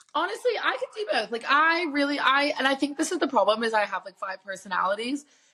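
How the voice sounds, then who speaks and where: A woman's high, raised, projected voice, animated in tone, very fast with hardly any pauses and very wide pitch swings, over noticeable background noise. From mixed: New York, Ireland (West Cork), Singapore. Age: 20s. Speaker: podcast co-host. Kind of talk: casual chat.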